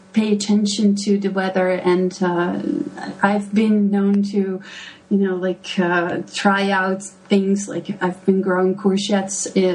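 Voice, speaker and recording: A woman with a Dutch accent, very slow and monotone, flat in intonation, with noticeable background noise. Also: medium pitch for a woman. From Netherlands, Delft. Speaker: gardening blogger. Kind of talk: podcast interview. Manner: hesitant, many fillers.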